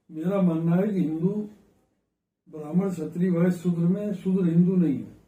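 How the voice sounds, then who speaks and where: Over audible room echo, a man with a high pitch for a man and a dark, mellow tone speaks in a monotone, flat intonation. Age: 80s+. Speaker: former member of parliament, politician. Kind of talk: interview.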